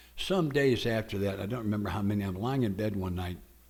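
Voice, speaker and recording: With audible room echo, a man of fairly low pitch talks with ordinary pitch variation. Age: 80s. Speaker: AA speaker. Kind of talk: testimony.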